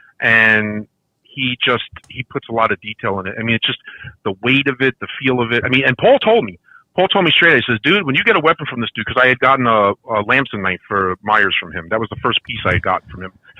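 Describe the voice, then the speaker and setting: Talking at a very fast pace, a man with an American accent uses lively intonation at a medium pitch. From Brooklyn, New York. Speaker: podcast guest, figure collector. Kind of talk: casual chat. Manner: talkative.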